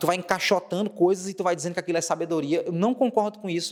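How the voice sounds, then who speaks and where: The pitch variation is ordinary. Noticeable background noise is present. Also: man. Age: 20s. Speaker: monologue video creator. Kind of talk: solo monologue to camera. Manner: casual, repetitive emphasis.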